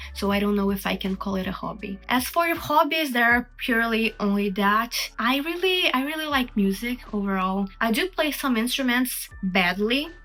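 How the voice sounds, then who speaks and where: With a Brazilian accent, a woman talks at a fairly high pitch in a bright, sharp tone. Her intonation is lively, her pace moderate, and she hardly pauses at all. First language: Portuguese. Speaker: artist and video creator. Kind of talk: Q&A monologue. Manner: casual, chatty.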